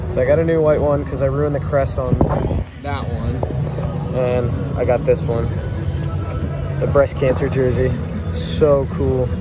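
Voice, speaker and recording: Loud music plays behind a man talking at a moderate pace. He leaves long, frequent pauses. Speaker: hockey fan vlogger. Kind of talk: casual vlog chat. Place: stadium. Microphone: phone near.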